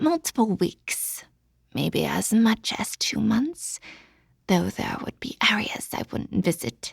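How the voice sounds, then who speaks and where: A put-on character voice whispers and hisses at a fairly slow pace. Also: female-sounding voice. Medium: read story. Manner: low and sibilant.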